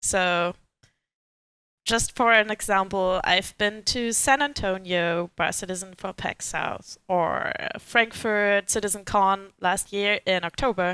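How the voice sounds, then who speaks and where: A woman's bright, sharp, medium-pitched voice at a very slow pace, with fairly even intonation and a dry, close sound with no echo on a very clean recording with a silent background. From Germany. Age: 20s. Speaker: game fan guest. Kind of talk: casual chat.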